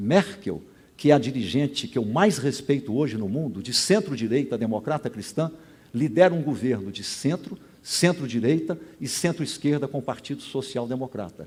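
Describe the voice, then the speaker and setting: A man's fairly high voice with vocal fry, a dark, mellow tone, very wide pitch swings and a moderate pace. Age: 70s. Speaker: gubernatorial candidate, sociologist. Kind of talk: political debate answer. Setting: stage at public event with audience.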